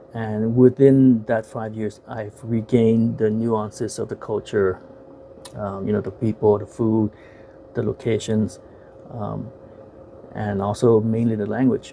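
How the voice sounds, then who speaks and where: A man with an American accent speaks in a fairly low voice, at a fairly slow pace, with long and frequent pauses. His intonation stays flat and monotone over noticeable background noise. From United States. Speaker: YouTuber and movie reviewer. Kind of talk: casual video monologue, film review. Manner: halting, many fillers and repeats.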